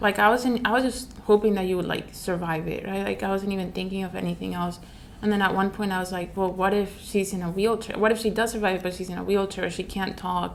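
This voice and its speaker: With a non-native accent, a woman at medium pitch rushes along at a very fast pace in a monotone, flat delivery, hardly pausing, against noticeable background noise. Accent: foreign. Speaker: family member of survivor. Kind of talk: testimony.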